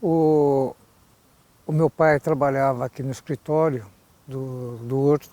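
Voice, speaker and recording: A man talks with a dark, mellow tone. The sound is dry and close, with no echo. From Brazil, Mairinque (São Paulo state). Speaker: local elder interviewee. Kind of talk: interview recollection. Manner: halting, many repetitions.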